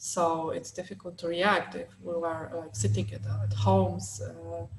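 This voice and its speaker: A woman with a Polish accent and very wide pitch swings, with noticeable background noise. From southern Poland, small city near Krakow. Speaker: LGBT+ activist. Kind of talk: panel discussion. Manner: halting, many fillers.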